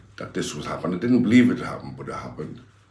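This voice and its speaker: With a Liverpool accent, a man talks in an animated tone with ordinary pitch variation, and audible room echo surrounds him. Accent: Liverpool (Scouse). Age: 60s. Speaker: former gangster turned preacher. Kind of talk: interview.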